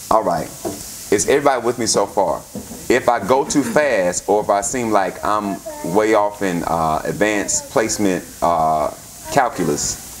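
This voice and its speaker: A man with a fairly low pitch talks at a moderate pace with lively intonation over noticeable background noise. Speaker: pastor. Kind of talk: sermon. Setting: church service with congregation. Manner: interactive, call-and-response.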